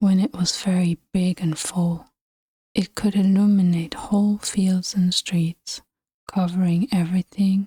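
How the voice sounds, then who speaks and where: Soft-spoken delivery unfolds at a fairly slow pace. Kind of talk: ASMR bedtime story reading.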